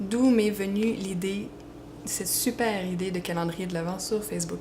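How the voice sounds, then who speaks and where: Amid noticeable background noise and audible room echo, a woman with a Quebec accent speaks at a fairly slow pace. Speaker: fan fiction writer and page admin. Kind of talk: Q&A video, casual. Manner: hesitant, many fillers.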